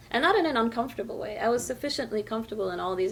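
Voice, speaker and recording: Talking at a very fast pace, a woman speaks with an American accent. Background noise is noticeable. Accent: American-sounding English. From France. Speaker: novelist. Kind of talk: interview.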